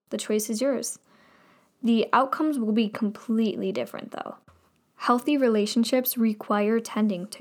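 Recorded very cleanly against a silent background, a woman with a normal speaking voice speaks at a moderate pace, her fairly high pitch held in fairly even intonation. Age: young. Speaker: podcast host. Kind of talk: casual monologue.

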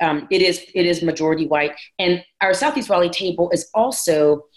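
In an unremarkable speaking voice, a woman talks at a moderate pace with fairly low pitch and ordinary pitch variation. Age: 40s. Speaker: pastor. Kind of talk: casual chat.

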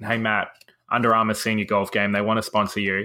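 With an Australian accent and a bright, sharp tone, a man speaks at a medium pitch in a very clean recording with a silent background. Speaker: podcast host. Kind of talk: casual chat.

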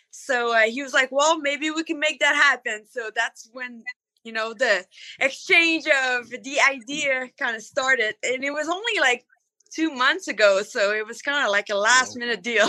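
A woman's high-pitched, raised and projected voice has a bright, sharp tone. Her loudness swings widely as she keeps a moderate pace. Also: ordinary pitch variation. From Canada. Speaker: monster truck driver. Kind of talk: casual interview.

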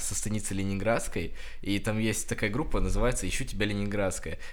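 Room echo is audible around a man's voice. He speaks at a moderate pace. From Russia, Krasnodar Krai (Kuban). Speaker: student podcaster. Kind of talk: casual chat.

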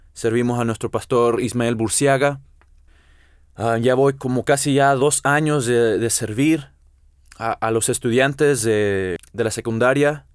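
At a fairly slow pace and medium pitch, a man speaks with fairly even intonation in a very clean recording with a silent background. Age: 20s. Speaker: podcast host, church member. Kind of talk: casual religious podcast monologue. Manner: halting, many fillers.

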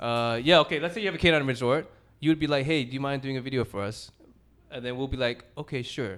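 With ordinary pitch variation, a man delivers his words at a very fast pace. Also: medium pitch for a man. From Thailand, also raised in Vietnam and England. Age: 20s. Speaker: video producer. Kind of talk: casual chat. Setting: dog daycare venue.

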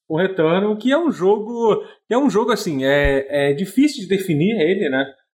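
Speaking at a high pitch, a man's voice moves through very wide pitch swings. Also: moderate pace. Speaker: podcast host. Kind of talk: casual chat.

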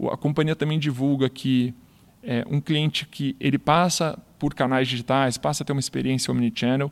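A man with a medium pitch speaks in an ordinary speaking voice at a moderate pace, keeping his intonation fairly even. The recording is very clean, with a silent background. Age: 30s. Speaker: retail performance manager. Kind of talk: interview podcast.

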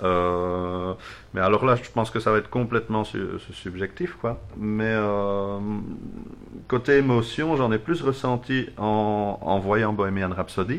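Against a quiet background, a man with a Belgian accent talks at a very slow pace. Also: fairly low pitch for a man, ordinary pitch variation. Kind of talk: casual chat.

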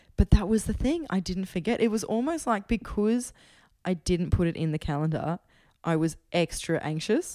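A woman with an Australian accent, a dark, mellow tone and medium pitch, lively intonation at a moderate pace, on a very clean recording with a silent background. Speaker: musician. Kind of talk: casual chat. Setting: at home.

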